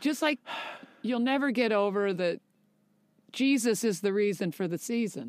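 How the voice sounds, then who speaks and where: A woman's fairly high voice at a moderate pace, with lively intonation and long, frequent pauses. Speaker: actor and podcast co-host. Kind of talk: casual chat. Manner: loud.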